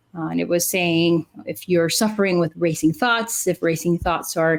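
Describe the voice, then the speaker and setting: She has a Spanish accent. The pitch of this woman's speech shifts in an ordinary way. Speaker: clinical psychologist, podcast co-host. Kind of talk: casual podcast chat. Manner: frequent fillers 'uh'.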